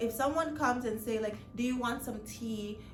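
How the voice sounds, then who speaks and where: A woman's voice amid noticeable background noise, with audible room echo. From Mali, West Africa. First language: not English; speaks French. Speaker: lifestyle vlogger. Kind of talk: casual vlog monologue. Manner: hesitant, many fillers and restarts.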